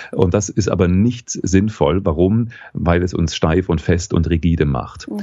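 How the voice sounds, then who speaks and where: The voice has a dark, mellow tone and a moderate pace. The background stays quiet. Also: man. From Saxony, Dresden. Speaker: voice coach and former radio newsreader. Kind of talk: interview. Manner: calm, guided exercise pace.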